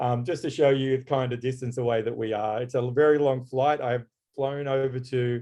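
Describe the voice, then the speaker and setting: A man speaks at a moderate pace and medium pitch, his intonation monotone and flat. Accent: Australian. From Australia. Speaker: graphic designer. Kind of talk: webinar presentation. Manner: halting.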